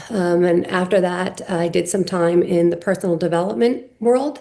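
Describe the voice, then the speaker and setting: A woman with an American accent, a dark, mellow tone, a medium pitch and ordinary pitch variation. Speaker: company CEO. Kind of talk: podcast interview.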